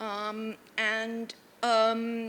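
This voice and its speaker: This woman's tone is bright and sharp. She speaks at a medium pitch. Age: 80s+. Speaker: art collector. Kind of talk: panel talk. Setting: stage with audience. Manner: halting.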